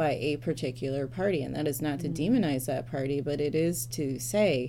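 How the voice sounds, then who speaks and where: A woman with an American accent speaks at a moderate pace in a very deep, low voice. There is audible room echo and noticeable background noise. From Metro Detroit, Michigan, US. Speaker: church policy staffer, former lawyer and judge. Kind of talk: interview.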